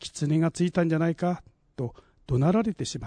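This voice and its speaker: At a moderate pace, a man speaks in a fairly high, dark and mellow voice, with a dry, close sound and no echo. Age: 60s. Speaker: essay contest winner. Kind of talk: reading aloud.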